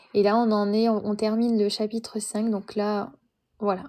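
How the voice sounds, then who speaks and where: Her voice has a dark, mellow tone and a fairly high pitch. The woman speaks at a fairly slow pace. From France. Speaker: live streamer reading a book. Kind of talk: casual live stream chat. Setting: live stream. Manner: hesitant, many fillers.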